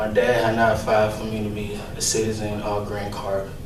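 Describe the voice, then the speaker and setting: Over noticeable background noise and audible room echo, a man talks in a fairly low pitch with monotone, flat intonation. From West Africa. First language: an African language. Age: 20s. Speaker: construction crew member in youth job program. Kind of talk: personal testimony speech.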